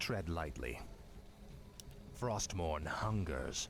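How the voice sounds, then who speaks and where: Over loud background noise, a man puts on a character voice pitched very deep and low. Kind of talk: video game unit responses. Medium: video game. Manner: cold, terse.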